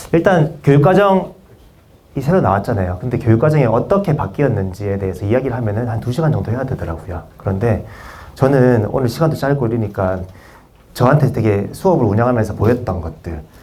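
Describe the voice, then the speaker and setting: Speaking at a fairly quick pace, a man swings his pitch very widely while room echo is audible. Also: medium pitch for a man. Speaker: PE teacher presenting at conference. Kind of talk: conference presentation. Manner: fast; hesitant, many fillers.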